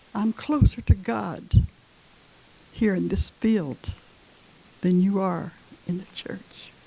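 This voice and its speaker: Somewhat breathy and dark, mellow in tone, a woman speaks very slowly at medium pitch with lively intonation, big swings in loudness and long, frequent pauses. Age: 80s+. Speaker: elderly community member. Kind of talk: speech at anniversary event. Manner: halting.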